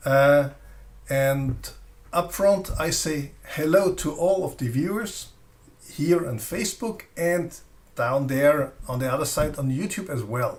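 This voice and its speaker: A man with a non-native accent speaks at a very slow pace in a fairly high pitch. His voice is somewhat breathy, with ordinary pitch variation. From Austria. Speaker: flashlight reviewer. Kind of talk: live stream product presentation. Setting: live stream. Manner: halting.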